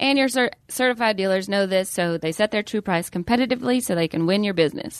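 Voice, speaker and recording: Over a quiet background, a woman with a Southern US accent talks at a very fast pace in a medium pitch with lively intonation. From Atlanta, Georgia. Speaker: comedian and podcast host. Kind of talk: casual banter.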